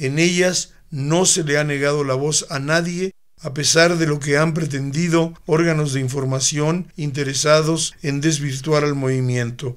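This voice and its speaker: A man with an unremarkable speaking voice talks at a fairly slow pace. His pitch is fairly high and his intonation fairly even. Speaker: reader of historical manifesto. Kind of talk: reading aloud. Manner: formal, solemn, measured; declamatory, earnest, steady pace.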